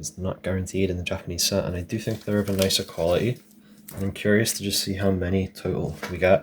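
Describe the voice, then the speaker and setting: A soft-spoken man talks at a moderate pace with fairly even intonation and a very deep, low pitch. Noticeable background noise runs beneath him. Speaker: card collector. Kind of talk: relaxing card-opening commentary.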